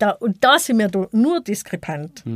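Using an ordinary speaking voice, a woman with a fairly high pitch speaks at a fairly slow pace with lively intonation, the sound dry and close with no echo. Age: 50s. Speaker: equal opportunities officer. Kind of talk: debate interview.

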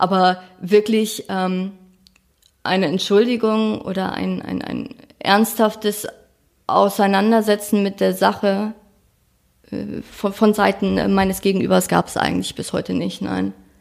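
Long, frequent pauses from a woman speaking at a fairly slow pace. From northern Germany, rural Schleswig-Holstein. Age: 20s. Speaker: crime victim sharing her story. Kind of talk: testimony. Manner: halting.

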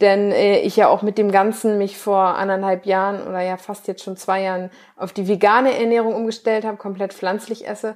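In a very clean recording with a silent background, a woman speaks at a fairly quick pace with medium pitch and monotone, flat intonation. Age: 20s. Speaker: bikini bodybuilding athlete and nutrition coach. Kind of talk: casual interview.

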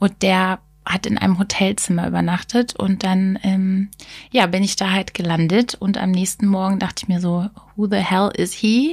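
This woman's voice is somewhat breathy and medium in pitch. Her loudness stays very even, and her intonation is fairly even too. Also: moderate pace. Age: 30s. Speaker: podcast co-host. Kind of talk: casual chat.

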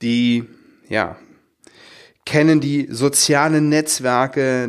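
A man speaking at a very slow pace with fairly even intonation, on a very clean recording against a silent background. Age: 40s. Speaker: podcast host, dental practice business coach. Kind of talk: solo podcast monologue. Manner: hesitant, with fillers and repetitions.

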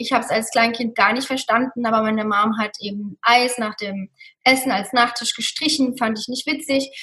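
This woman has a fairly high pitch and an unremarkable speaking voice. She talks at a moderate pace with ordinary pitch variation. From Germany, Mosel region. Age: 30s. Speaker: hotel manager and Ayurveda practitioner. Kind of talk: interview.

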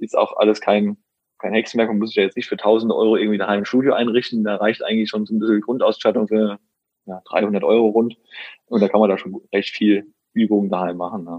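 Talking very fast, a man holds a monotone, flat intonation at a fairly low pitch. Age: 30s. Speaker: personal trainer and nutrition coach. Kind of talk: interview.

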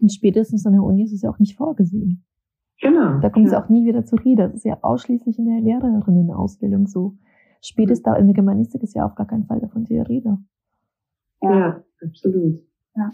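A woman talks at a very fast pace. Her medium-pitched voice shows ordinary pitch variation. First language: not German (learned German at school as migrant) (speaking German). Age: 30s. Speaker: novelist and essayist. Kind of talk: casual interview. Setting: remote call to Berlin.

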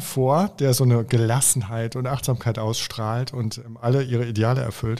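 In a very clean recording with a silent background, a man speaks at a medium pitch with a dark, mellow tone and ordinary pitch variation. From Germany, Oberbergischer Kreis near Cologne. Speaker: author. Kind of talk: interview conversation.

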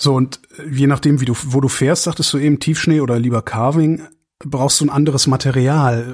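The man's voice rests at a medium pitch. Intonation remains fairly even throughout. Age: 50s. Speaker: podcast host. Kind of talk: interview.

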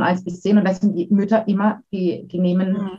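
A woman with a medium pitch speaks at a fairly quick pace. Her voice is somewhat breathy, with fairly even intonation. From Baden, Karlsruhe area. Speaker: educator and giftedness counselor. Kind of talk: interview.

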